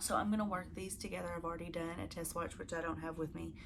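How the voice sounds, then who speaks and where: Audible room echo surrounds a woman speaking with a Southern US accent. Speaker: crafting video host. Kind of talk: casual chat to camera. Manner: casual, with fillers.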